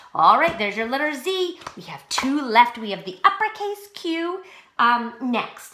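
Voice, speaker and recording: A woman speaks in a high, raised and projected voice at a fairly slow pace, her pitch swinging very widely and her loudness rising and falling sharply over noticeable background noise. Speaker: pre-K teacher. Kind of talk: tutorial. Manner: slow, clear instructional.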